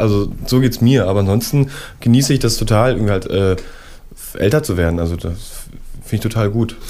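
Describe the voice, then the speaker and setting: A man with a medium pitch and a dark, mellow tone speaks at a fairly quick pace. His pitch varies in an ordinary way, and room echo is audible. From Berlin. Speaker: musician. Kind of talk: radio interview. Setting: studio. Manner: halting.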